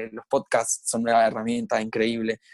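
In a dry, close recording without any echo, a man talks at a middle pitch. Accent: Rioplatense. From Argentina, Buenos Aires. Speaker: lawyer and HIV activist. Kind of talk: podcast interview. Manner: halting, frequent repetitions and fillers.

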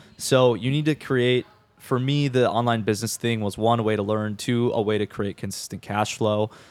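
A man with an ordinary speaking voice and an American accent, fairly low in pitch, at a moderate pace and fairly even intonation, in a dry, close, echo-free recording that is very clean with a silent background. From Minnesota, Twin Cities area. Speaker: videographer and agency founder. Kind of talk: podcast interview.

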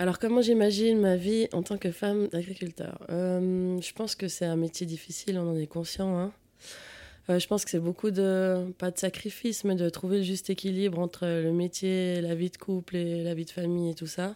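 A woman's medium-pitched, monotone delivery at a moderate pace, on a very clean recording with a silent background. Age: 30s. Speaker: office worker looking for a farmer partner. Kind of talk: personal testimony.

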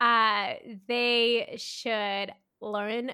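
With a Canadian accent, a woman speaks at a fairly high pitch. Her pace is very slow and her pitch variation ordinary. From Canada, Mississauga (Greater Toronto Area). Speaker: photographer and videographer, business owner. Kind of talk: interview, casual chat.

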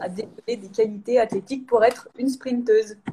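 A somewhat breathy woman's voice. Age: 30s. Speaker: sprinter, 400 m athlete. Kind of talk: live interview.

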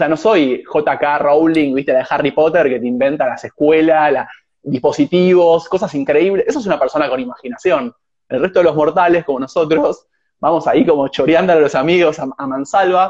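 A man's fairly high-pitched voice at a fairly quick pace, with ordinary pitch variation. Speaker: host of a live conversation series. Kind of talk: casual interview chat. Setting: Instagram live stream. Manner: halting, many repetitions and fillers.

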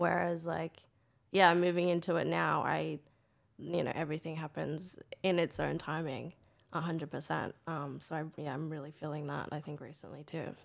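A woman speaks at a moderate pace in an American accent. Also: very clean recording, silent background. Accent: Australian with a slight American tinge. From Australia, country New South Wales. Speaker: film producer and actor. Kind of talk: casual interview chat.

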